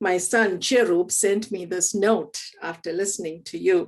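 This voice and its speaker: Speaking with a strong Keralan accent, a woman talks fairly slowly at a medium pitch. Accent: Indian (Malayali) English, strong. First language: Malayalam. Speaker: theology professor. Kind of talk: panel moderation. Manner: halting.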